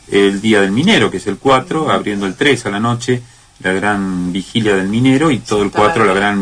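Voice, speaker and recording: Over noticeable background noise, a man talks at a moderate pace with a fairly low pitch and ordinary pitch variation. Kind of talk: casual chat. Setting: radio studio.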